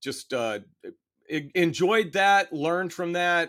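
A man with an unremarkable speaking voice uses lively intonation at a fairly high pitch, recorded very cleanly against a silent background. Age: 50s. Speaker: finance professor. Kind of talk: casual chat.

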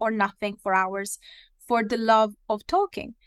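In an Italian accent, a woman with a fairly high pitch talks at a moderate pace, the sound dry and close with no echo. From Italy. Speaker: corporate learning manager. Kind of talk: interview. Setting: remote call. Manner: halting.

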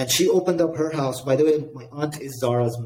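The speaker is a man with a fairly high pitch. His voice is somewhat breathy, with ordinary pitch variation. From Dubai, UAE. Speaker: real estate investor, company founder. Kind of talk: interview. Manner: energetic.

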